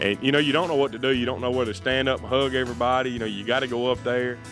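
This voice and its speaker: A man speaks in a Southern US accent. Music plays in the background. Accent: Southern American English. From Alabama, United States. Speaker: livestock auctioneer. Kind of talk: interview answer.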